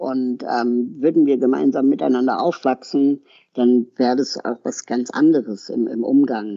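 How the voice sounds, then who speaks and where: Using an ordinary speaking voice, a man talks at a fairly slow pace and medium pitch with ordinary pitch variation. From Berlin, Germany. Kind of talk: interview.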